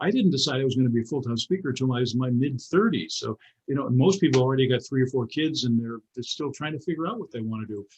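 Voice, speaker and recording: At a very fast pace with hardly any pauses, a man speaks in a somewhat breathy voice at medium pitch with ordinary pitch variation. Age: 80s+. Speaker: motivational speaker. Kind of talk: interview. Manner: animated; halting.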